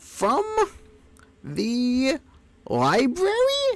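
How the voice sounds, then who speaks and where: This is a put-on character voice. It is squeaky and high in pitch. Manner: frustrated.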